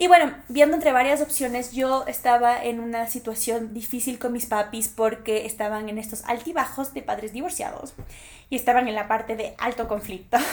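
Her high-pitched voice animated, a woman talks at a moderate pace with ordinary pitch variation and big swings in loudness. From Ecuador. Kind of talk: personal monologue.

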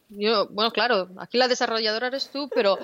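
A woman's bright, sharp, fairly high voice in a Spanish accent, with ordinary pitch variation. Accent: Spanish from Spain. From Spain. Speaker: cloud developer advocate, podcast co-host. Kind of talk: casual tech chat.

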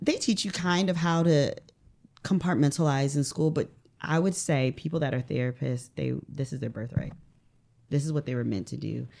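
A woman's very deep, low voice with vocal fry, a dark, mellow tone and ordinary pitch variation. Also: moderate pace. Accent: American. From US Midwest, northern Ohio. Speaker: mental health therapist. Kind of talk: casual interview. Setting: studio.

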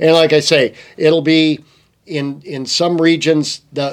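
A fairly high-pitched male voice in an American accent, with monotone, flat intonation at a fairly slow pace. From Michigan. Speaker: fishing tackle sales rep and former fly fishing guide. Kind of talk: casual chat. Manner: halting.

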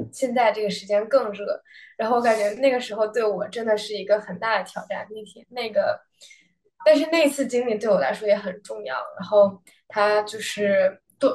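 A woman with an unremarkable speaking voice talks at a moderate pace, fairly high in pitch, with ordinary pitch variation and big swings in loudness. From Beijing, China. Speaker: college tennis player. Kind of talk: interview. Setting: hotel room, remote.

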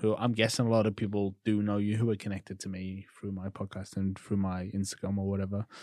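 A man speaks with a Liverpool accent. His pitch is fairly low, and the background is quiet. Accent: Liverpool (Scouse). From Liverpool, England. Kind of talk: scripted intro; casual interview chat.

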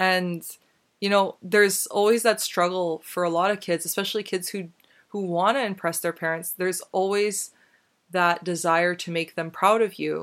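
At a moderate pace, a woman speaks in a normal speaking voice with medium pitch and fairly even intonation on a very clean recording with a silent background. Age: 20s. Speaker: podcast host. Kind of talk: solo commentary monologue. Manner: casual, conversational with laughs.

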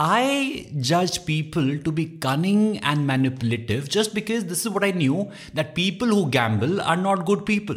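This man has a high pitch with very wide pitch swings. He speaks at a moderate pace. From India (Dehradun, Uttarakhand). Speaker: podcast host and content creator. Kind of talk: solo self-help podcast monologue.

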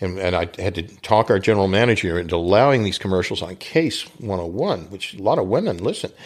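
In a normal speaking voice with an American accent, someone talks at a fairly quick pace against a quiet background. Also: man. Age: 60s. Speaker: radio advertising consultant and author. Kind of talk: casual interview.

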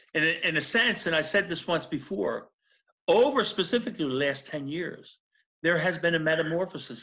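A man's bright, sharp voice with a Philadelphia accent over a quiet background. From South Philadelphia. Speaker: former federal prisoner. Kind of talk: interview testimony.

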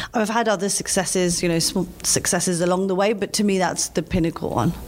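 Very fast speech from a woman at medium pitch, fairly even in intonation, with noticeable background noise. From London, England. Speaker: lawyer and chief privacy officer. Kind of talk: interview.

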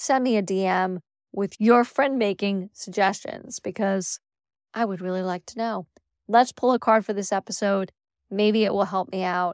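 A woman's plain, everyday voice, fairly high in pitch with fairly even intonation, at a moderate pace, in a very clean recording with a silent background and a dry, close sound with no echo. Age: 50s. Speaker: podcast host and life coach. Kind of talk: casual monologue.

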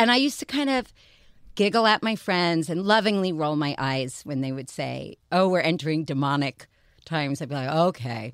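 At a moderate pace, a woman with a very deep, low pitch makes very wide pitch swings in a very clean recording with a silent background. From New York. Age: 60s. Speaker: publicist and former fashion editor. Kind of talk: casual chat.

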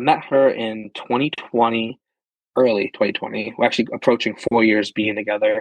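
Speaking at a fairly slow pace with ordinary pitch variation, a man with an American accent sounds dry and close, with no echo. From Pennsylvania. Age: 20s. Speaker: car enthusiast. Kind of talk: casual chat.

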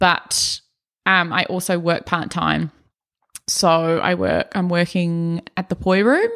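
At a very slow pace, a woman speaks in a fairly low pitch with monotone, flat intonation. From New Zealand, Auckland. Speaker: artist. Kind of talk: casual interview. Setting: in person.

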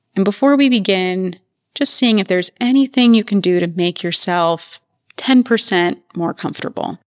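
This is a woman at medium pitch with ordinary pitch variation, a normal speaking voice. The sound is dry and close with no echo, over a quiet background. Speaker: research professor and yoga teacher. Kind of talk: guided meditation. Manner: slow, calm, soothing; gentle, measured, with long pauses.

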